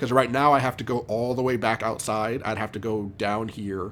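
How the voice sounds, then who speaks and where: A man is speaking. His pace is moderate. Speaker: video game streamer. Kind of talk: live gameplay commentary. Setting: live stream at home with headphones. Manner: loud; casual, many fillers. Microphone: mic very close to mouth, sounds loud.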